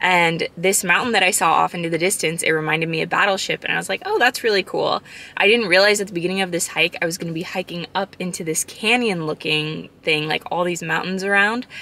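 With an American accent, a woman speaks at a very fast pace with hardly any pauses, a fairly low pitch and fairly even intonation, in a dry sound with no echo. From Arizona, US. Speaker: travel vlogger. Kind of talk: vlog narration. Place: car. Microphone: phone near.

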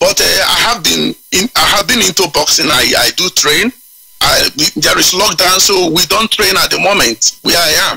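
A man with a Nigerian accent talks at a moderate pace, the sound dry and close with no echo. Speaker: caller. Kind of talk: call-in radio show.

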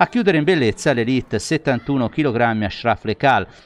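Against a quiet background, a man talks at a medium pitch and moderate pace in an unremarkable speaking voice with ordinary pitch variation. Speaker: sports news anchor. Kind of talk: news reading. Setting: studio.

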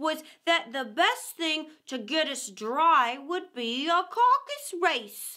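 A woman uses a put-on character voice, high in pitch and bright and sharp in tone. She speaks slowly, with big pitch swings.

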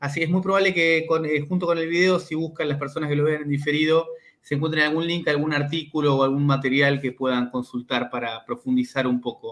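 A man speaks in a normal speaking voice at a fairly high pitch. He goes at a fairly quick pace with fairly even intonation and hardly any pauses. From Argentina. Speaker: university researcher and interview host; interview host. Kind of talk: interview. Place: home room. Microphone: video call.

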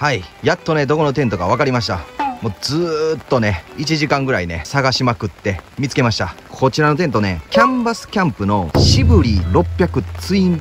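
Clear music plays in the background as a man talks at a moderate pace in a dry sound with no echo. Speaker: camping vlogger. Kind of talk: casual vlog chat. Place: tent. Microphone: phone near.

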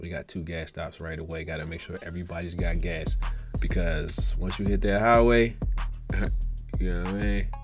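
Music can be heard clearly behind the speaker. The talking runs at a fairly quick pace. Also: man, very deep, low pitch for a man. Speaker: motorcycle vlogger. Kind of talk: casual vlog chat. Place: motorbike. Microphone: phone near.

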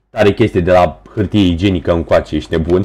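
Against a quiet background, a man with a very deep, low pitch and a dark, mellow, somewhat breathy tone speaks at a fairly quick pace with ordinary pitch variation. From Romania, Tulcea. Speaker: gaming streamer. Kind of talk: live gaming stream chat. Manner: animated.

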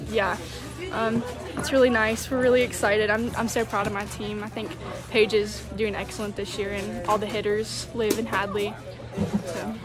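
A woman speaks with a dry sound and no echo. Clear music plays behind her. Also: moderate pace. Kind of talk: interview answer. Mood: happy, modest, relaxed. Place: stadium. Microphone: phone near.

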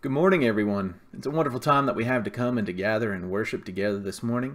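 The pace is very fast. This man speaks with lively intonation. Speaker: church minister. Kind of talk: church announcements. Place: home room. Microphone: webcam.

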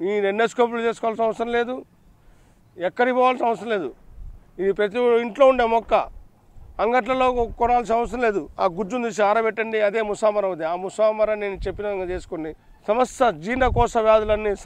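The speaker is a man with a high-pitched voice. His intonation is fairly even. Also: dry sound with no echo. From Andhra Pradesh, Giddalur area (Prakasam district); Andhra Pradesh. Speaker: ayurvedic herbal healer. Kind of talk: health remedy tutorial. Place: garden. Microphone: lapel.

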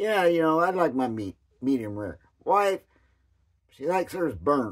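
Over a quiet background, a man talks at a moderate pace in a fairly high voice with very wide pitch swings. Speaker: vlogger. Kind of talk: casual chat. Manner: rambling, folksy. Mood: gossipy, mildly critical. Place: home room. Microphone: phone near.

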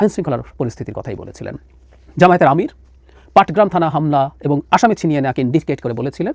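An unremarkable speaking voice, a man's at a fairly high pitch, comes through dry and close with no echo, with lively intonation and big swings in loudness. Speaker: political analyst. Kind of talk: political commentary.

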